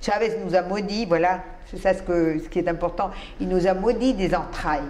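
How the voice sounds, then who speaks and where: A woman speaks at a moderate pace in a medium pitch with fairly even intonation. Audible room echo and noticeable background noise fill the recording. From Colombia. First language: Spanish (speaking French). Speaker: writer and immigrant to Israel. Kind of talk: interview.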